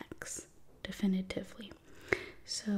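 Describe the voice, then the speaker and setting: A soft-spoken woman talks in a gentle tone. Her intonation is monotone and flat. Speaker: math tutor. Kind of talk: soft-spoken tutorial. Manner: soft-spoken, gentle ASMR tutoring voice. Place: home room. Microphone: studio mic.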